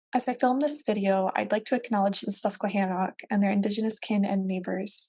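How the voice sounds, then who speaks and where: A woman with an American accent talks at a very fast pace and a medium pitch, her intonation fairly even. Her tone is dark and mellow, and somewhat breathy. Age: 20s. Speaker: librarian presenter. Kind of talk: recorded presentation. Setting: video call with virtual background.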